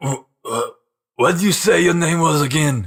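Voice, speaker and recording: A man does a raspy, put-on character voice at a fairly high pitch. He keeps a moderate pace with ordinary pitch variation. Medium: actual play.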